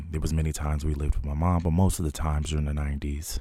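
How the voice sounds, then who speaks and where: Very deep and low, a man's dark, mellow, somewhat breathy voice rushes along at a very fast pace in a flat monotone with an American accent, recorded very cleanly against a silent background. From New Jersey, Trenton. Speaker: podcast host. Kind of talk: personal monologue. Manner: hesitant, with filler words.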